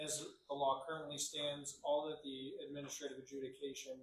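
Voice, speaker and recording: With audible room echo, a man talks at a moderate pace in a somewhat breathy voice at a fairly high pitch. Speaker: city attorney. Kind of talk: council meeting report. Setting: city council meeting room. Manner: soft-spoken; hesitant, many fillers.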